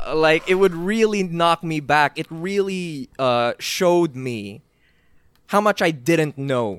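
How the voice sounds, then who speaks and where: Very slow and lively in intonation, a man with a high pitch is captured dry and close with no echo on a very clean recording with a silent background. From Philippines. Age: 20s. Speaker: wrestling YouTuber. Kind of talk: casual chat.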